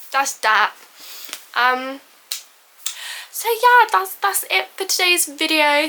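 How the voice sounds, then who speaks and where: A woman speaks in a raised, projected voice against noticeable background noise. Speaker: booktuber. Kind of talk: casual vlog book haul. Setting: home filming room. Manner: fast; animated.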